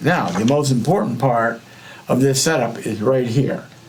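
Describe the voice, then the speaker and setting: With audible room echo and noticeable background noise, a man of medium pitch talks at a moderate pace with ordinary pitch variation. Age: 60s. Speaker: electronics hobbyist. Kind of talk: tutorial. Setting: live stream. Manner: halting.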